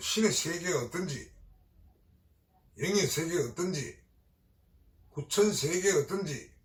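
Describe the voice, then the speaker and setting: Long, frequent pauses break up this man's speech. His pitch is high. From Gyeongsang region, South Korea. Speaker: Buddhist exorcist priest. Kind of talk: dharma talk. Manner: hesitant fillers.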